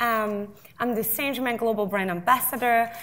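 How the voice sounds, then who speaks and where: At a moderate pace, a woman with a fairly high pitch speaks with fairly even intonation in a French accent. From south of France. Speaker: drinks brand ambassador. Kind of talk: panel discussion.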